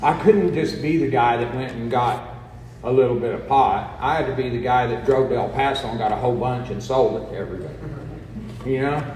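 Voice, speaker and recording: With an American accent, a man talks at a medium pitch and a fairly quick pace, his pitch varying in an ordinary way. Noticeable background noise and audible room echo surround him. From New Mexico (Roswell). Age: 60s. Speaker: recovery speaker. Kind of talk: personal testimony talk.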